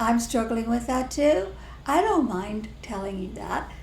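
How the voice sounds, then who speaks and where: The speaker talks fairly slowly with lively intonation in an American accent, and audible room echo surrounds the voice. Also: woman. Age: old. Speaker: spiritual teacher. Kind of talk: casual chat.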